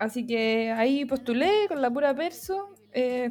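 A woman speaks in a high pitch at a fairly slow pace, with ordinary pitch variation. Noticeable background noise runs underneath. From Chile, San Felipe. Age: 20s. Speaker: graphic designer and photographer. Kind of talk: casual interview chat. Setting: video call.

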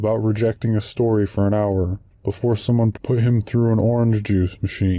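The intonation stays fairly even as a natural voice reads aloud.

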